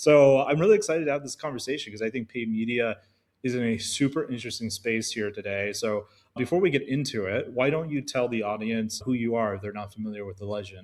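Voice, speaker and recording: A man with an Alaskan accent at a very fast pace, medium in pitch with ordinary pitch variation, in a very clean recording with a silent background. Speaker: podcast host. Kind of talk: scripted intro; podcast interview. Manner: casual.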